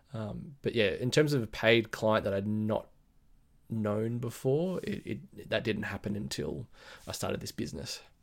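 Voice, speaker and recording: On a very clean recording with a silent background, a man with an Australian accent speaks at a moderate pace in a medium pitch, his intonation lively. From Australia, Blue Mountains west of Sydney. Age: 30s. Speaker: brand identity designer and business owner. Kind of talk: casual interview chat.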